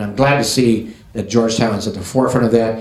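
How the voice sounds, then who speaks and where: Noticeable background noise and audible room echo surround a man speaking with a Midwestern American accent. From US Midwest. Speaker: business association president. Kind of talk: closing remarks at a business event.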